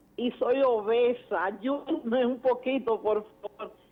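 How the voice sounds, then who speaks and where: The speaker is a woman. Her voice is high-pitched. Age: 60s. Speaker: caller. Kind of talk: call-in question. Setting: phone call.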